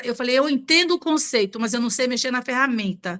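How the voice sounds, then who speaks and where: A woman speaks with a high pitch and a bright, sharp tone. Her pitch varies in an ordinary way. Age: 60s. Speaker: beauty professional, book club member. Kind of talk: book club discussion.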